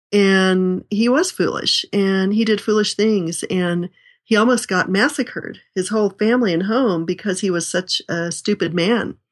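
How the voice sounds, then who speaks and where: A woman speaks in a plain, everyday voice at a medium pitch with ordinary pitch variation. Her moderate pace has hardly any pauses, against a quiet background. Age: 60s. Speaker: author and speaker on family life. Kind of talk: interview.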